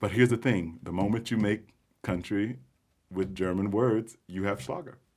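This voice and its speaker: With a Texan accent, this man speaks at a fairly low pitch and with ordinary pitch variation. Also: moderate pace. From Texas. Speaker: singer. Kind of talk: casual chat.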